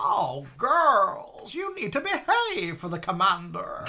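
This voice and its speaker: The voice is a put-on character voice with a high pitch. It moves at a fairly slow pace. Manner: stern, commanding.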